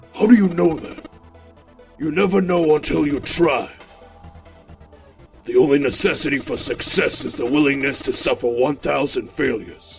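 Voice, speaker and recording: Over faint music, a man uses a put-on character voice with a fairly high pitch at a moderate pace. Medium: dub.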